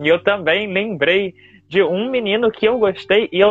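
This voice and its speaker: At a moderate pace, a man talks in a high pitch. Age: 20s. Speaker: podcast host. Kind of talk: casual chat.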